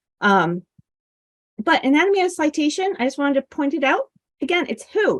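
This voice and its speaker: In dry, close sound with no echo, a high-pitched woman speaks with very wide pitch swings. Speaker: librarian giving instruction session. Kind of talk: instructional presentation.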